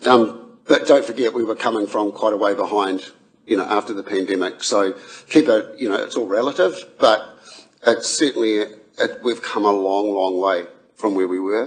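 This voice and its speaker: With a New Zealand accent, a man speaks at a moderate pace in a fairly low pitch with ordinary pitch variation. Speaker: council staff presenter. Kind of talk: committee meeting presentation. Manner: hesitant, many fillers.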